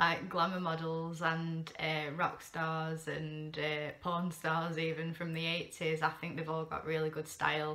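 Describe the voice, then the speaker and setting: Over noticeable background noise, a woman with a very deep, low pitch speaks fairly slowly in a flat monotone. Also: hardly any pauses. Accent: Yorkshire. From Sheffield, England. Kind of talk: casual talk to camera. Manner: rambling, hesitant.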